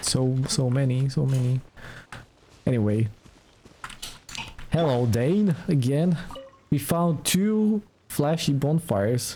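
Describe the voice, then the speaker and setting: The speech is very slow, with long, frequent pauses. Noticeable background noise can be heard. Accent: Slavic. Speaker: livestreamer. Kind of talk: casual chat. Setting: live stream.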